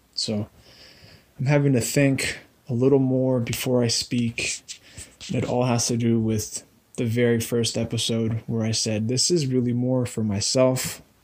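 A man's strained, put-on character voice at a medium pitch, monotone and flat, at a moderate pace. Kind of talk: professional, measured. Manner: slow, deliberate, restrained.

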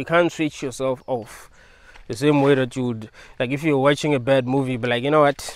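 The delivery moves at a fairly quick pace with fairly even intonation and a dry sound with no echo. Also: man. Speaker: video creator. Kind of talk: philosophical monologue. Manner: rambling, repetitive; casual. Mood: calm, thoughtful. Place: open country. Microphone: lapel.

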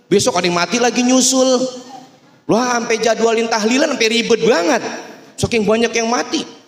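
A man speaks at a high pitch for a man in an animated tone. Room echo is audible. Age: young. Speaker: religious preacher. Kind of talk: sermon. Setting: mosque with audience. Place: hall. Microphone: handheld.

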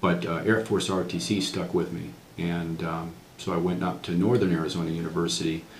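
A man with a very deep, low voice speaks in a room with audible echo and light background noise. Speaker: interviewee. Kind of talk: interview answer. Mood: calm, reflective. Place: office.

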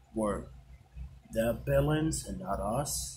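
A man's fairly low pitch in an ordinary speaking voice, over light background noise. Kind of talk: toy skit dialogue, voicing characters. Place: home room. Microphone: phone near.

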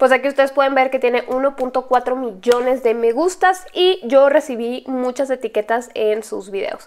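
A woman in an animated tone, high-pitched, at a fairly slow pace with hardly any pauses. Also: ordinary pitch variation. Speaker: YouTuber, paranormal story channel host. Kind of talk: casual vlog commentary. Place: home room. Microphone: lapel.

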